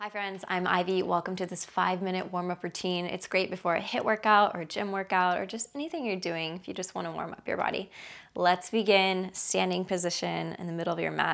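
Against a quiet background, a woman speaks at a fairly quick pace with hardly any pauses. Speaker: fitness instructor. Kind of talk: exercise instruction. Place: home room.

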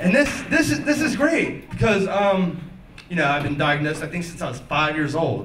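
A man speaks at a moderate pace. Audible room echo and light background noise surround him. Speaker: stand-up comedian. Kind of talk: stand-up comedy routine. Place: stage.

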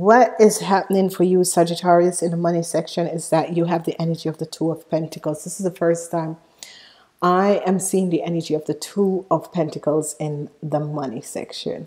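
A woman at a moderate pace, fairly low in pitch, with a dark, mellow tone and fairly even intonation over a quiet background. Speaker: tarot reader. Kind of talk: tarot reading, astrology forecast. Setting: solo video recording. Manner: filler-heavy, uses many ums. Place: home room. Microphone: earbuds.

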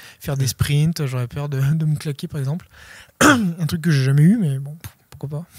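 At a moderate pace, a man with a fairly high pitch and ordinary pitch variation sounds somewhat breathy, recorded dry with no echo against a quiet background. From Savoie, French Alps; French Alps. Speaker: ultra trail runner; interviewee. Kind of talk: interview. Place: shop. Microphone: handheld.

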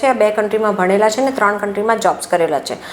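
A woman speaks over noticeable background noise. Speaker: overseas education consultant. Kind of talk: interview.

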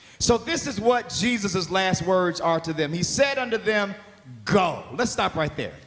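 A loud, animated man with a high voice, speaking at a fairly slow pace over light background noise. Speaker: pastor. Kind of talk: sermon. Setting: stage with audience. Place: church. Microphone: handheld.

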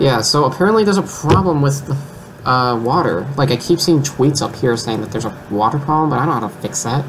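A man speaks at a very fast pace with hardly any pauses. Noticeable background noise runs underneath. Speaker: gamer. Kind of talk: casual gameplay commentary. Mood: overwhelmed, mildly amused. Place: home room.

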